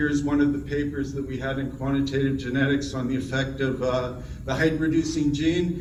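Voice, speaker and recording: A man speaks in a fairly high pitch. Noticeable background noise and audible room echo surround him. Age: 60s. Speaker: plant breeding professor. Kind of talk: award acceptance talk. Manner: halting.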